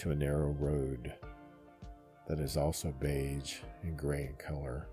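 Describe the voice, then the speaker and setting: Over music in the background, a soft-spoken man with a very deep, low pitch talks at a very slow pace with fairly even intonation. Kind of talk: sleep story, guided meditation narration. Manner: gentle, calming, softly spoken.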